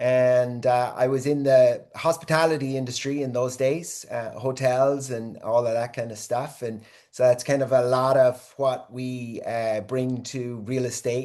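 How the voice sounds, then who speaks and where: The man's tone is dark and mellow, his pitch medium and his intonation monotone and flat. He talks at a fairly slow pace with hardly any pauses. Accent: Irish. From Ireland. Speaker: real estate agent. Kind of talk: panel discussion on video call. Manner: hesitant, many fillers.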